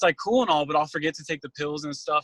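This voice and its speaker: Close and dry with no echo, a man's fairly high voice carries a bright, sharp tone and fairly even intonation. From Northern Virginia. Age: 20s. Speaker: job applicant. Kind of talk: job interview. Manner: hesitant, many fillers.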